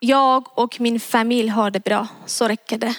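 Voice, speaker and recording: A woman with a Persian accent speaks at a very slow pace in a fairly high pitch, her intonation monotone and flat, the sound dry and close with no echo. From Iran. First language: Persian (speaking Swedish). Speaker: preacher. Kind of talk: sermon. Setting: church.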